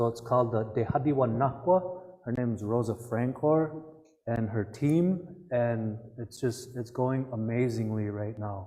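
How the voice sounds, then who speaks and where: Soft-spoken and somewhat breathy, a man with a dark, mellow tone and medium pitch talks at a fairly slow pace with ordinary pitch variation. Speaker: Native cultural speaker. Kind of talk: public talk Q&A.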